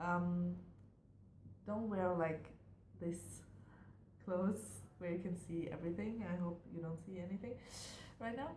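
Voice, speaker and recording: With a German accent, a woman speaks fairly low and at a fairly slow pace, leaving long, frequent pauses amid audible room echo and noticeable background noise. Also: ordinary pitch variation. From Germany. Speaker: university student vlogger. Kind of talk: casual vlog monologue. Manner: hesitant, many fillers.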